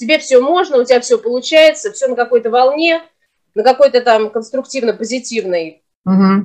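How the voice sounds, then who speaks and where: A moderate pace and lively intonation against a quiet background. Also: woman. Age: 40s. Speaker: small business owner; interview guest. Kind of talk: casual chat. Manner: animated. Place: home room. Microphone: video call.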